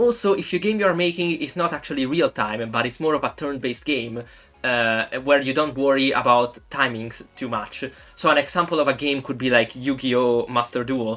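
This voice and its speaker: The pace stays moderate. The speech comes in an Italian accent. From Italy. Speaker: YouTube game developer. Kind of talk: tutorial.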